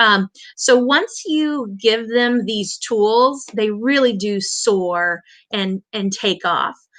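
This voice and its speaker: Over a quiet background, a woman with a US Midwestern accent speaks in a bright, sharp tone with lively intonation. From Indiana, US Midwest. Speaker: elementary school teacher. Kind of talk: online conference presentation. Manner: halting, many fillers.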